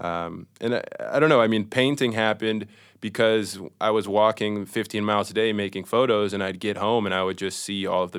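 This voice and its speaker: A man speaks at a moderate pace in an American accent. He has a plain, everyday voice. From Minnesota and various US cities. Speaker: painter. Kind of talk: casual conversation.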